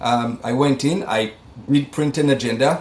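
With an Israeli accent, a man speaks at a medium pitch. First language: Hebrew. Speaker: medical device company CEO. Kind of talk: interview. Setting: video call.

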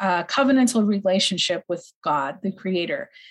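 Speaking at a moderate pace in an American accent, a woman sounds somewhat breathy, and her pitch varies in an ordinary way. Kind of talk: interview.

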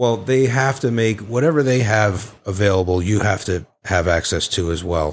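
A man's normal speaking voice, a normal speaking voice of fairly low pitch with ordinary variation, very even loudness, a moderate pace and hardly any pauses, on a very clean recording with a silent background. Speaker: January 6 attendee, guest. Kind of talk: casual chat, firsthand account.

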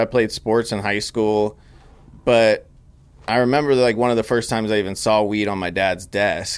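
With an American accent, a man speaks in a plain, everyday voice at a fairly low pitch, keeping a moderate pace and fairly even intonation. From Northern California, Grass Valley. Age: 30s. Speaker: cannabis extract company founder. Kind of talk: casual chat.

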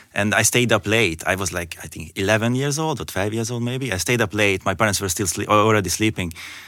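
A bright, sharp-toned man with a Hungarian accent, very fast, with ordinary pitch variation. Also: fairly low pitch for a man, hardly any pauses, very clean recording, silent background. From Hungary. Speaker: landscape photographer. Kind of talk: interview. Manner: hesitant, with fillers.

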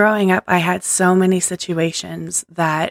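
A woman's fairly low, monotone voice with flat intonation at a fairly slow pace, in a very clean recording with a silent background and a dry, close sound with no echo. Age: 40s. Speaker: podcast host. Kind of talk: inspirational monologue. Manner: unscripted, stream of consciousness.

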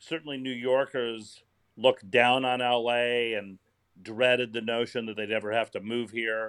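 A man with a medium pitch speaks in a normal speaking voice at a fairly slow pace. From Indiana, US Midwest. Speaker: comedy writer and comedian. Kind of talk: interview.

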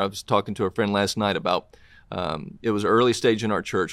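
The speech comes at a fairly quick pace with a Southern US accent. The recording is very clean, with a silent background. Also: man. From US South, Tennessee. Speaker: author and pastor. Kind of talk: interview.

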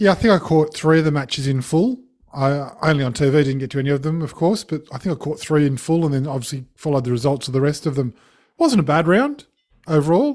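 In an Australian accent, a man talks very fast at a fairly high pitch with ordinary pitch variation. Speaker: podcast co-host. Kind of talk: casual chat about sport.

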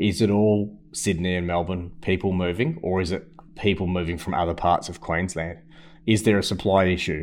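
Flat and monotone, a man with an Australian accent speaks in a very deep, low pitch. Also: moderate pace. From Perth, Western Australia. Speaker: property investment company founder and CEO. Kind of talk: webinar Q&A presentation.

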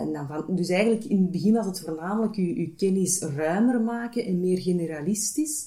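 Her intonation is lively. The woman speaks at medium pitch and a moderate pace. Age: 30s. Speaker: HR manager. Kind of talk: interview. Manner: hesitant, many filler sounds.

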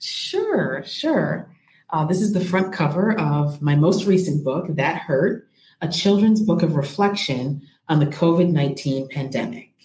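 Speech comes at a fairly slow pace with ordinary pitch variation. The voice has a somewhat breathy quality. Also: woman. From US Midwest, Rockford, Illinois. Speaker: early childhood educator and children's author. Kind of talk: interview.

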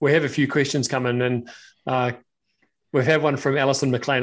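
Against a quiet background, a man speaks at a moderate pace with a medium pitch and fairly even intonation. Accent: New Zealand. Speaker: podcast host. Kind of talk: casual interview chat. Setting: live video stream.

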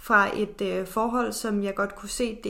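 A woman's medium-pitched voice carries a bright, sharp tone. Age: 20s. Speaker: podcast co-host, content creator. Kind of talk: casual chat.

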